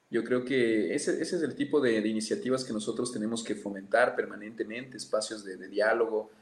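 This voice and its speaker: With noticeable background noise behind him, a man at medium pitch talks at a fairly quick pace with ordinary pitch variation and hardly any pauses. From Ecuador, Amazon region (Pastaza). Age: 30s. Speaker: politician. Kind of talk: interview.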